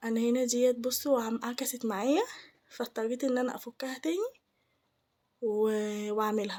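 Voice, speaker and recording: A woman's high-pitched voice, fairly slow in pace, with fairly even intonation. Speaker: home cooking channel host. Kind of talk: cooking tutorial. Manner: casual, halting with restarts.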